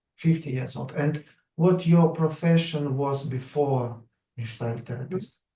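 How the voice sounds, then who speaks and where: A man with a non-native accent speaks at a fairly slow pace in a somewhat breathy, dark, mellow voice of fairly high pitch with ordinary pitch variation. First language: not English. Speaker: researcher interviewer. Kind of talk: interview. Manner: halting.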